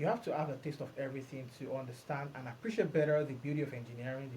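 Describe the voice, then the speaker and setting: Delivery is very fast and somewhat breathy, with a dark, mellow tone. Pitch varies in an ordinary way, and the room echo is audible. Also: man. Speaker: podcast host and blockchain developer. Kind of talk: solo podcast monologue.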